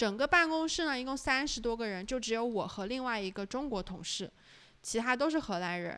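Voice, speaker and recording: A woman speaks with a fairly high pitch that swings very widely. The recording is very clean, with a silent background. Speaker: podcast co-host. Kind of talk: casual chat.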